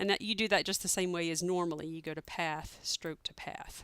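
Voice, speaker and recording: Recorded very cleanly against a silent background, a woman's normal speaking voice sits at a medium pitch with ordinary pitch variation, dry and close with no echo. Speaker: software tutorial maker. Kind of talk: screen-recorded tutorial. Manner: casual with frequent fillers.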